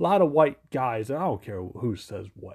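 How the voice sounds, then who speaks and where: In a very clean recording with a silent background, a man talks at a moderate pace in an animated tone. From Virginia, US. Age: 40s. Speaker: podcast host. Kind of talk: casual monologue.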